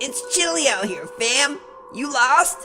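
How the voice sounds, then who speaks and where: Clear music plays in the background as a cartoonish character voice speaks at a fairly slow pace. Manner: slangy, keeps saying fam.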